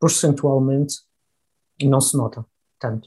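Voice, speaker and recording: A man with a fairly high pitch and a dark, mellow tone sounds somewhat breathy, speaking at a moderate pace with ordinary pitch variation. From Madeira, Portugal. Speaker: engineer and company head. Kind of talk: interview.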